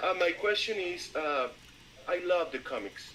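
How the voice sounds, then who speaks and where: With a Latin American accent, the speaker talks at a very slow pace with ordinary pitch variation. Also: man. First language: Spanish. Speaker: listener asking a question. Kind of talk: question in live audio Q&A. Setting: online audio room. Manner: halting, hesitant.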